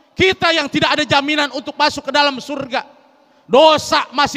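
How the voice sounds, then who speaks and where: In a raised, projected voice, a man speaks at an extremely high pitch and a fairly quick pace, his intonation fairly even and the sound dry and close with no echo. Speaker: Islamic preacher. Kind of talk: sermon. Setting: mosque with audience. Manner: conversational, engaging audience with questions.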